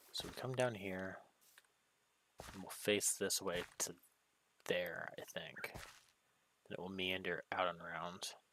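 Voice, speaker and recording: Quiet and at a fairly slow pace, a man with a very deep, low pitch and a bright, sharp tone speaks with fairly even intonation and long, frequent pauses. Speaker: gaming streamer. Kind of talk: live gameplay commentary. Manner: quiet, subdued; monotone droning.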